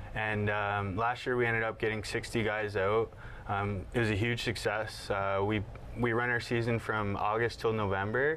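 A man with a Canadian accent speaks at a moderate pace in a fairly low pitch. His loudness stays very even, and his intonation is monotone and flat. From Brantford, Ontario, Canada. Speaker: sports league organizer. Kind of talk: casual interview.

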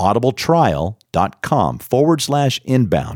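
A man speaks at medium pitch with vocal fry. The sound is dry and close, with no echo. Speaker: podcast producer and announcer. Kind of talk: ad read. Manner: rapping.

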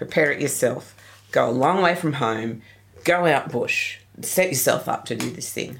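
A woman with a very deep, low pitch in an Australian accent, ordinary pitch variation, and a moderate pace. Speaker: geocacher. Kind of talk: interview.

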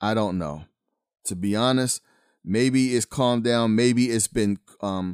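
Recorded dry and close with no echo in a very clean recording over a silent background, the speech moves at a fairly slow pace with ordinary pitch variation. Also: man. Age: 50s. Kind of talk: podcast monologue, preaching commentary. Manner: casual, urban-flavored delivery.

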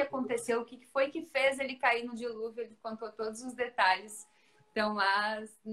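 Fairly quick and fairly high-pitched, a woman talks with fairly even intonation in an unremarkable speaking voice. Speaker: radio presenter. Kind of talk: casual interview.

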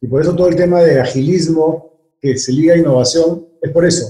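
Fairly quick and dark, mellow in tone, the man's voice shows ordinary pitch variation. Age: 50s. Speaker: business executive. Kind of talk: interview. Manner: halting, many fillers and repetitions.

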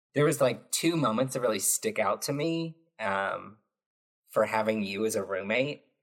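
A man with an ordinary speaking voice, medium pitch, lively intonation and a moderate pace. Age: 20s. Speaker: podcast host. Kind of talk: casual chat. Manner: casual, filler-heavy.

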